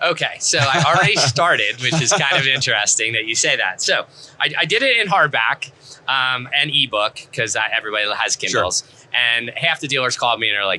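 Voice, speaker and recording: With a New Jersey accent, a man talks at a fairly quick pace and medium pitch, his intonation lively and his loudness swinging widely, over noticeable background noise. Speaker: author being interviewed about his book.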